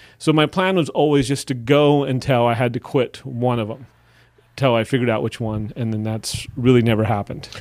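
In a plain, everyday voice, a man with an American accent talks at a fairly quick pace, his medium pitch rising and falling by an ordinary amount. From Wisconsin. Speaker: stand-up comedian and teacher. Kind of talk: casual chat.

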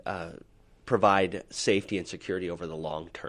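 Against a quiet background, a man with a Utah accent speaks at a very deep, low pitch with fairly even intonation. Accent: General American (Utah). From Utah, Salt Lake City. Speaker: life insurance advisor. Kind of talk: interview on a finance podcast. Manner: halting, many fillers.

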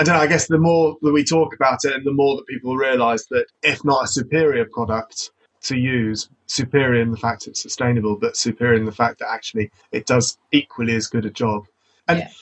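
A man with a British accent at medium pitch, ordinary pitch variation and a fairly quick pace. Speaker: podcast host. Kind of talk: podcast interview.

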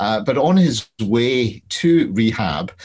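A man speaks with a Glaswegian accent. His intonation is lively. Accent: Glaswegian Scottish. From Scotland, Glasgow. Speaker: crime novelist. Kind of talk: casual interview.

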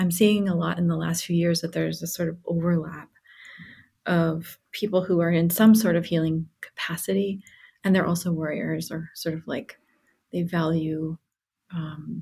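At a moderate pace, a woman speaks in a fairly low, somewhat breathy voice with a dark, mellow tone and fairly even intonation. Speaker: flower alchemist. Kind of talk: casual chat.

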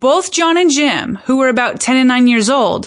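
Using a plain, everyday voice, a woman speaks at a moderate pace with lively intonation. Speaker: podcast host. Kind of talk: scripted narration.

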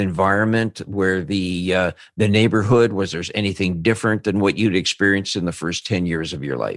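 Against a quiet background, a man with a fairly low pitch talks at a moderate pace in an ordinary speaking voice. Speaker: podcast host and interviewer. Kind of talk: interview.

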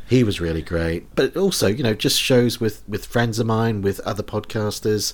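At a moderate pace, a man talks with a New Zealand accent. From New Zealand, rural town. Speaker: comedy podcast host. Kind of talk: casual chat.

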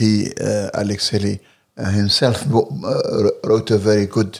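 In a very clean recording with a silent background, a man with an Arabic accent speaks at a fairly low pitch. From Libya. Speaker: translator and political activist. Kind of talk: interview. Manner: hesitant, many fillers.

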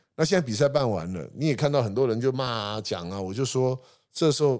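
A man with an ordinary speaking voice moves at a fairly quick pace, using ordinary pitch variation. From Taiwan, Hsinchu. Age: 50s. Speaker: sports marketing company founder. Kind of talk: interview conversation.

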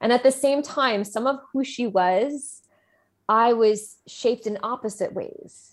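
In a very clean recording with a silent background, a woman with an American accent speaks at a fairly slow pace. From New Jersey. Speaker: entrepreneur. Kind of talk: interview.

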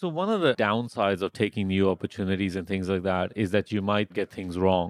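A normal speaking voice from a man, fairly low in pitch, at a fairly quick pace with hardly any pauses, dry and close with no echo over a quiet background. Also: fairly even intonation. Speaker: podcast host. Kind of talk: casual interview.

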